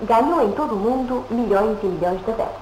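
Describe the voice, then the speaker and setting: Echo from the room can be heard. There is a little noise in the background. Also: woman. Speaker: continuity announcer. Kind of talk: 1950s television announcement, formal broadcaster read. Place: studio.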